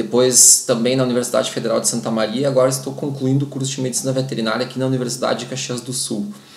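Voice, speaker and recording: Rushing at a very fast pace with hardly any pauses, a man speaks in a monotone, flat intonation amid audible room echo and noticeable background noise. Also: medium pitch for a man. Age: 40s. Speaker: dog trainer and breeder. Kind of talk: informative talk to camera. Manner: halting, many filler sounds.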